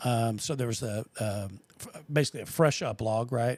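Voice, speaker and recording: A man with an ordinary speaking voice, medium pitch and ordinary pitch variation, at a moderate pace, in a very clean recording with a silent background. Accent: American. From Texas, Austin. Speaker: podcast host. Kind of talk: casual chat.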